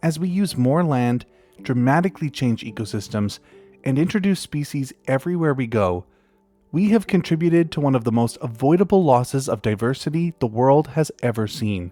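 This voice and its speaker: A man speaks at a moderate pace with a medium pitch and lively intonation, with music playing in the background. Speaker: nature documentary narrator. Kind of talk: documentary narration.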